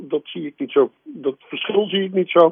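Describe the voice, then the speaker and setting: Ordinary pitch variation comes with a moderate pace of speech. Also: man. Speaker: former mayor. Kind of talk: radio interview. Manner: halting.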